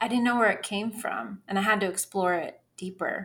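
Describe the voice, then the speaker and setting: In an American accent, a woman talks at a medium pitch with monotone, flat intonation. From Northern California. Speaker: Spanish coach. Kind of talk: casual chat.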